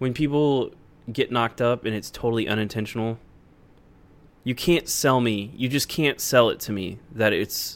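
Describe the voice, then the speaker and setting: The speaker is a man with an ordinary speaking voice at medium pitch. He keeps a moderate pace with ordinary pitch variation. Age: 20s. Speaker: comedy podcast co-host. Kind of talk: casual chat.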